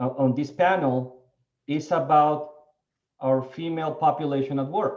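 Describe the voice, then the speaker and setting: Speaking at a moderate pace, a man with a non-native accent has a fairly high pitch. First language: not English. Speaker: panelist on diversity in the seed industry. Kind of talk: panel discussion. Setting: webinar video call.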